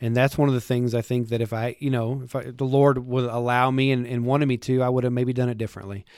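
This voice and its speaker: Speaking at a very fast pace with hardly any pauses, the man keeps a medium pitch and a monotone, flat intonation. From West Texas (Lubbock). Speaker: worship pastor. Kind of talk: casual chat.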